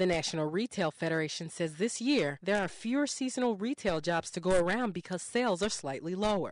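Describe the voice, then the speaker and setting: Delivered in a normal speaking voice, the speech moves at a fairly quick pace with hardly any pauses. The intonation is lively, and the background is quiet. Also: woman, medium pitch for a woman. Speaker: radio news reporter. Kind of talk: radio news report.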